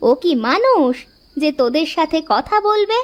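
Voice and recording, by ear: A woman performs a cartoonish character voice at an extremely high pitch with big pitch swings. Her pace is fairly slow.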